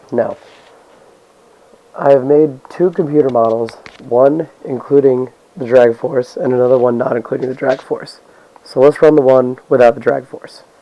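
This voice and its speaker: Speaking at a moderate pace with long, frequent pauses, a man keeps a medium pitch and fairly even intonation against noticeable background noise. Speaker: physics student. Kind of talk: lab report narration.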